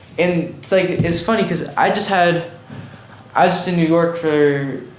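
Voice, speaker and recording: Amid audible room echo and noticeable background noise, a man with a high pitch talks at a moderate pace with fairly even intonation. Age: 20s. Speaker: artist and fashion designer. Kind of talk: casual chat.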